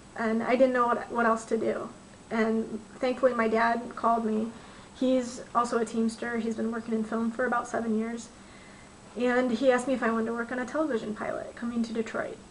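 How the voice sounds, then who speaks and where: Fairly high-pitched and fairly quick, a woman talks in a monotone, flat intonation against noticeable background noise. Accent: American. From Michigan. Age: 20s. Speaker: film crew transportation dispatcher. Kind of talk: personal testimony to camera. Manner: casual, with frequent fillers.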